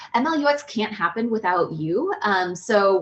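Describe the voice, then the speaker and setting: Fairly high-pitched female voice with ordinary pitch variation. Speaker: meetup organizer. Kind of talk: event introduction presentation. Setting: video call. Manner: fast.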